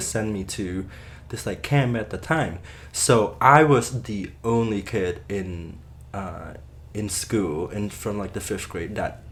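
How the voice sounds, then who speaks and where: A man with a Cambodian accent, fairly low in pitch, at a very slow pace with ordinary pitch variation. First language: Khmer. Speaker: Khmer language teacher. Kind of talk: interview answer.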